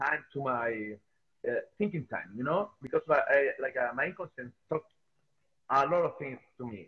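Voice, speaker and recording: A man speaks with a Spanish accent and lively intonation. His loudness swings widely. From Chile. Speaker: sculptor. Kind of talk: interview. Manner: halting, frequent hesitations.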